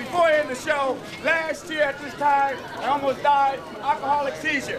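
Crowd noise fills the background while the speech moves at a moderate pace. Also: man. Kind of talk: street show patter. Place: street.

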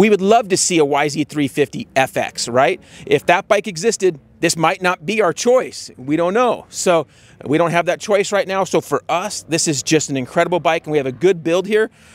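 The man's high voice moves through ordinary pitch variation at a moderate pace, recorded dry with no echo. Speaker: presenter. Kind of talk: product review commentary. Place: open country. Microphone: handheld.

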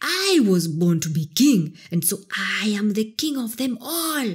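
A somewhat breathy, animated, theatrical woman's voice at medium pitch with very wide pitch swings. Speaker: audiobook narrator. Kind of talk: dramatic storybook narration of a fairy tale, read aloud. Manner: animated, theatrical, building tension in the action scenes.

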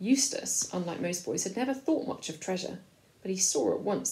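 A natural reading voice carries the words with lively intonation.

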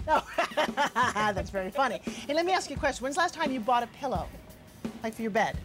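Music plays in the background as a woman talks at a fairly quick pace in a high pitch with lively intonation. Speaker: infomercial host. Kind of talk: street interview with shoppers.

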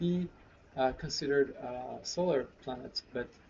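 A somewhat breathy man at a fairly slow pace, with ordinary pitch variation and light background noise. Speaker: presenter. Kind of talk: tutorial. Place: home room.

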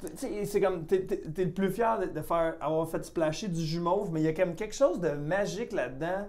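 The speaker talks at a moderate pace with hardly any pauses. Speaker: comedian and podcast host. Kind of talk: casual chat.

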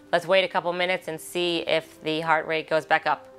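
Faint music sits behind a woman with an American accent. Her pitch is fairly low and her intonation is monotone and flat. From Baltimore, Maryland, USA. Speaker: mother of a hospital patient. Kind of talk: interview answer. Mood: emotional, grateful. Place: studio.

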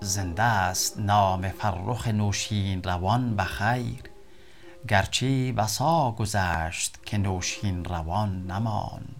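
A man with an Afghan accent speaks at a very slow pace, his pitch fairly low with ordinary variation. Music plays in the background. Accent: Dari (Afghan Persian). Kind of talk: poetry reading.

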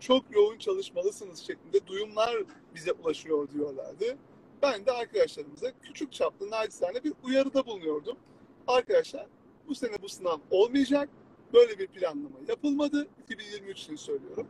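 A man at an extremely high pitch, very wide pitch swings and big swings in loudness, in a dry, close sound with no echo. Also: moderate pace. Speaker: law exam prep instructor. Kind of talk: live stream talk.

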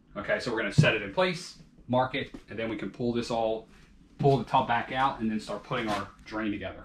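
There is audible room echo and light background noise around a man's voice. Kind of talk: tutorial. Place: bathroom.

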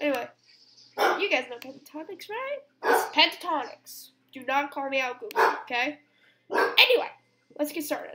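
A woman speaks at a moderate pace amid loud background noise. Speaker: gamer. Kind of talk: casual gaming commentary. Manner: casual, rambling. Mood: chatty, mildly annoyed. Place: home room. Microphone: webcam.

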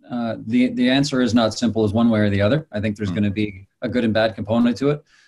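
Behind the man, the background is quiet. His intonation stays fairly even. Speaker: singer-songwriter. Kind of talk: interview answer. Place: home room. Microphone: video call.

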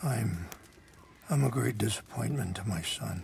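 Using a put-on character voice, a man speaks at a fairly slow pace with fairly low pitch, lively intonation, vocal fry and a slightly mellow tone, while faint music plays in the background.

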